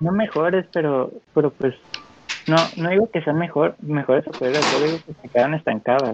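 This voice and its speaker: Amid noticeable background noise, a fairly high-pitched man speaks with ordinary pitch variation and big swings in loudness. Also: moderate pace. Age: young. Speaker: podcast co-host. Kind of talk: casual chat.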